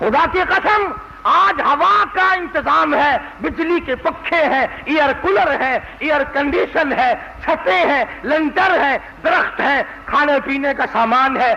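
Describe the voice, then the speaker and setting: Loudness stays very even while noticeable background noise runs underneath. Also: man, extremely high pitch for a man, ordinary pitch variation. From Pakistan. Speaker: Islamic preacher. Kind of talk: religious sermon. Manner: soothing.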